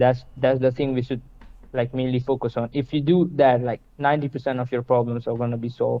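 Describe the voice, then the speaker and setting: Someone with an Indian accent speaks at a fairly quick pace in a monotone, flat intonation. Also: man, medium pitch for a man. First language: Hindi. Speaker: stranger from online chat. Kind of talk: casual chat.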